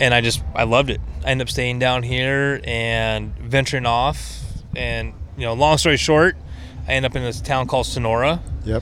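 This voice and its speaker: Background noise can be clearly heard. Over it, a male voice talks at a moderate speed. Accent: American. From Washington State. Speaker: off-road enthusiast. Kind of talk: casual chat. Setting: outdoors.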